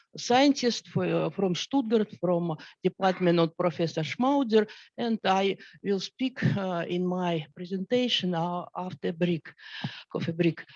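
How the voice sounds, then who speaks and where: Delivered at a fairly slow pace, the speech carries a Russian accent. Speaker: scientist. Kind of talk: panel discussion. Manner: halting.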